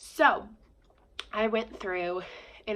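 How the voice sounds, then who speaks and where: A woman with a medium pitch and a bright, sharp tone talks at a very slow pace. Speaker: book vlogger. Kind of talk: casual chat. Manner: casual, with fillers.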